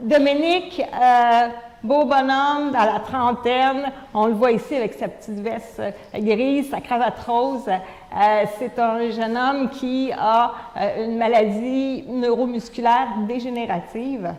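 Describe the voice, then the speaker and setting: Speaking very slowly with a Quebec accent, the voice comes through noticeable background noise and audible room echo. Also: woman, high pitch for a woman, ordinary pitch variation. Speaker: conference speaker. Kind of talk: lecture. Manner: hesitant, many fillers.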